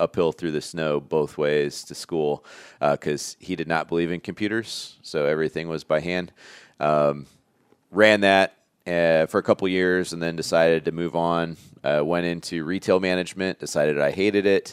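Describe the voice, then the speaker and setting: A man with an American accent speaks at a very deep, low pitch with fairly even intonation, in a dry, close sound with no echo on a very clean recording with a silent background. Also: moderate pace. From northern Indiana, US Midwest. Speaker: brewer and brewery co-owner. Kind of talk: casual interview. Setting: conference room.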